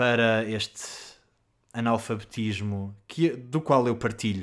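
The recording is very clean, with a silent background. A man with a European Portuguese accent speaks at a medium pitch with fairly even intonation. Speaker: podcast host, artist. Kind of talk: casual solo monologue. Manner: hesitant, with many fillers.

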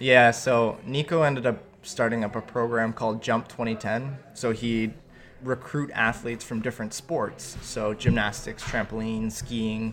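A man with a Canadian accent speaks fairly slowly in a plain, everyday voice. His pitch is medium and his intonation fairly even. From Canada, Ontario (Milton). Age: 20s. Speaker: freestyle skier, Olympic athlete. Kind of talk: interview. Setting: coffee shop.

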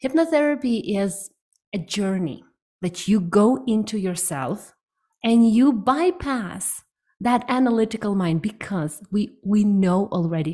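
Her medium-pitched voice is somewhat breathy and dark, mellow in tone, moving at a fairly slow pace with lively intonation. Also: very clean recording, silent background. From Ukraine. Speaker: hypnotherapist. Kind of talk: interview.

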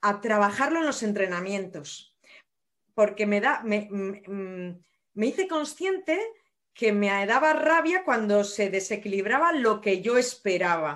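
An unremarkable speaking voice from a woman, medium in pitch, with lively intonation and a fairly slow pace. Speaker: nurse and running coach. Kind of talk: casual interview.

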